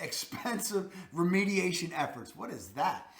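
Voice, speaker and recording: A man with a Baltimore accent, high in pitch, in a raised, projected voice at a fairly slow pace, with audible room echo and noticeable background noise. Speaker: real estate video host. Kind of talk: informational video talk. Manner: casual, self-correcting.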